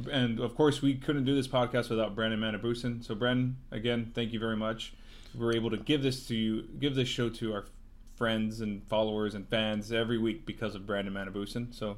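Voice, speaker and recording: In a normal speaking voice, a man talks fairly quickly at a medium pitch with fairly even intonation. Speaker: podcast host. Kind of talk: casual chat.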